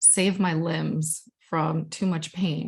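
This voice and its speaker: A woman's fairly low, somewhat breathy voice in a Spanish accent, with monotone, flat intonation. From Guatemala. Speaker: art student and digital storytelling presenter. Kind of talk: casual presentation of own artwork.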